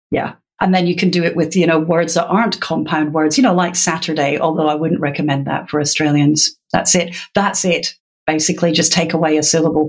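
With a Scottish accent, the speaker talks at a fairly quick pace, with fairly even intonation and very even loudness. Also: woman, fairly low pitch for a woman. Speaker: literacy educator. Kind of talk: interview.

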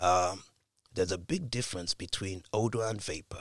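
A somewhat breathy man speaks at a fairly slow pace in a very clean recording with a silent background, the sound dry and close with no echo. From Britain. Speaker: scientist. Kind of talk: interview.

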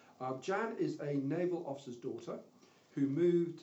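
Over noticeable background noise, a man with a British accent speaks with lively intonation. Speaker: podcast host. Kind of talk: interview.

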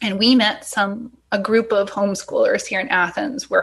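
At a moderate pace, a woman talks in a plain, everyday voice, fairly high in pitch, with ordinary pitch variation. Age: 40s. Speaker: unschooling parent. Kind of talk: interview conversation.

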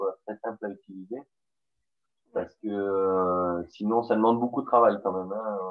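A man with a southern French accent speaks at a fairly slow pace and fairly low pitch, his intonation fairly even and his pauses long and frequent. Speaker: podcast host. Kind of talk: interview.

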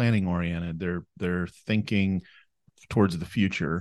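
An Upper Midwest accent over a quiet background. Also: man. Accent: Upper Midwest American. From southern Minnesota, US. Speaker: wealth planner. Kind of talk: casual interview. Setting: studio, seated next to host.

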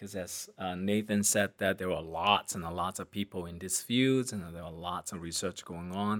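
In a non-native accent, a man talks at a moderate pace with hardly any pauses, his very deep, low voice fairly even in intonation. The recording is very clean, with a silent background. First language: not English. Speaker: transportation safety researcher. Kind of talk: casual interview.

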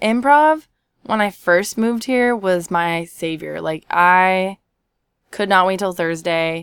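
A woman with a medium pitch talks at a very slow pace, her intonation lively. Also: very clean recording, silent background. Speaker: improv classmate. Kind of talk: casual interview.

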